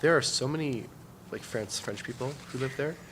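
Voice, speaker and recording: A man with a Canadian accent talks at a fairly quick pace, with audible room echo and noticeable background noise. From Canada (Ontario). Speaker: workshop instructor. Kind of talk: casual chat. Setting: conference. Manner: halting.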